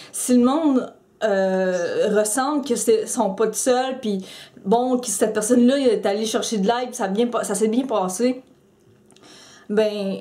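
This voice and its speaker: Speaking very slowly with long, frequent pauses, a woman uses a fairly high pitch and fairly even intonation. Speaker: YouTuber, mental health vlogger. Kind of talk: personal vlog commentary. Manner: halting, many repetitions and fillers.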